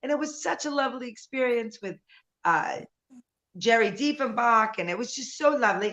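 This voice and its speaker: A woman with a high pitch and a bright, sharp tone speaks in an animated tone at a moderate pace, with ordinary pitch variation and big swings in loudness. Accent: New York. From US Northeast, New York City (Bronx). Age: 60s. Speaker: nightclub singer and performer. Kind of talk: casual chat.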